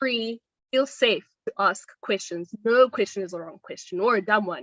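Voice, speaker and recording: A woman's fairly high voice, with ordinary pitch variation, comes through in a dry, close sound with no echo. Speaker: fellowship alumna. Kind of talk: panel discussion. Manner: loud.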